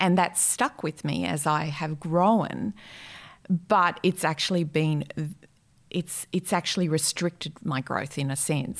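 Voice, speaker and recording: A woman with an Australian accent speaks at a fairly slow pace, her pitch very deep and low. Her pitch varies in an ordinary way, and the recording is very clean with a silent background. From Australia, Brisbane. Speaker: life coach. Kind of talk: interview.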